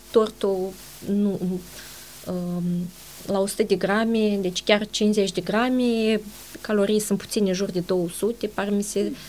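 The speaker is a woman with an ordinary speaking voice at medium pitch. She goes at a fairly slow pace with ordinary pitch variation. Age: 40s. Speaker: nutritionist and dietitian. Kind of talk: interview.

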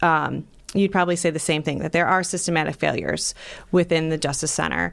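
A woman with a Northeast Ohio accent, fairly low in pitch, at a moderate pace in a monotone, flat intonation, in a very clean recording with a silent background. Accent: Midwestern American (Northeast Ohio). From Ohio, North Ridgeville. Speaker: lawyer and judicial candidate. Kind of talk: interview.

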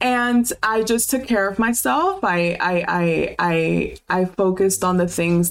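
In an American accent, a woman talks in a fairly low voice with ordinary pitch variation. Noticeable background noise runs underneath. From US South, Homestead near Miami, Florida. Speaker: podcast host and life coach. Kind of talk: personal testimony. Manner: halting.

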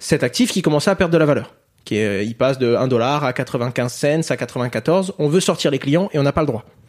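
A plain, everyday voice speaks at a moderate pace. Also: man. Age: 20s. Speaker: crypto educator and entrepreneur. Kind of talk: interview.

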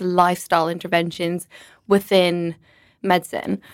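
The pace is moderate. The sound is dry and close with no echo, in a very clean recording with a silent background. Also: woman. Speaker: medical doctor and nutritionist. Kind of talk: casual interview.

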